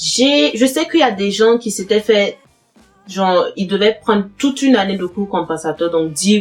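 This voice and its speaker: A woman speaks with a Burkinabe accent and ordinary pitch variation. Noticeable background noise is present. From Burkina Faso. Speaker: YouTuber giving advice on studying and immigrating. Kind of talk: casual Q&A video. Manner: hesitant, many fillers and repetitions.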